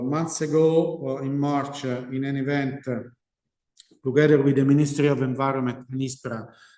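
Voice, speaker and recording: Audible room echo surrounds this voice. A man speaks with an Italian accent. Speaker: research scientist. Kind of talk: lecture. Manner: halting.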